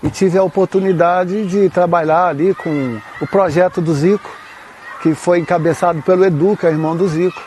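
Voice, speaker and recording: A man with a high pitch at a moderate pace amid noticeable background noise. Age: 60s. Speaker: women's football coach. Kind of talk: interview.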